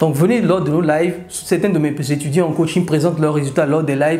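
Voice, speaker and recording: Over noticeable background noise, a man with a Beninese accent speaks fairly quickly at a fairly high pitch, keeping his intonation fairly even. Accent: African (Beninese) French. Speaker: e-commerce coach. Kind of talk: tutorial.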